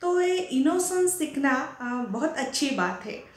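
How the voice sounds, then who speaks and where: A woman with a Marathi accent speaks at a high pitch with lively intonation. Audible room echo carries her voice. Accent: Marathi-accented Hindi. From Maharashtra, India. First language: Marathi (speaking Hindi). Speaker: professor and teacher. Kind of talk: speech. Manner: halting, many fillers.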